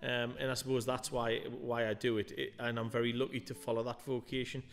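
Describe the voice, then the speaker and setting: A man's voice with fairly even intonation over faint background music. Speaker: interview guest. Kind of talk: interview answer. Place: studio. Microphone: studio mic.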